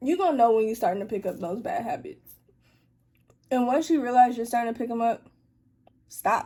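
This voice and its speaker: A woman talks at a fairly quick pace with long, frequent pauses, her voice high in pitch with a dark, mellow tone. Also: lively intonation. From Atlanta, US South. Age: young. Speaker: YouTuber and college student. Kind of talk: casual Q&A chat. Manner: casual, conversational.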